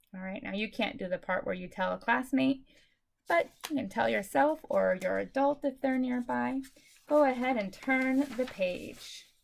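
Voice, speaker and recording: At a moderate pace, a normal speaking voice moves with lively intonation. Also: woman, fairly high pitch for a woman. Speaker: elementary school teacher. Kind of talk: remote lesson for young pupils. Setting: recorded video lesson. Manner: upbeat, encouraging.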